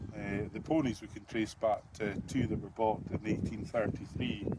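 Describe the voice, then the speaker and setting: This man speaks with a Scottish Highland accent at a moderate pace. His pitch is medium and his intonation fairly even. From Scottish Highlands, Kingussie area. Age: 60s. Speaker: crofter and farmer starting a political party. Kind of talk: interview.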